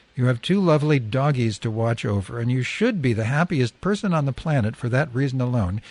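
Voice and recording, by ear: This is read aloud in a natural voice with lively intonation.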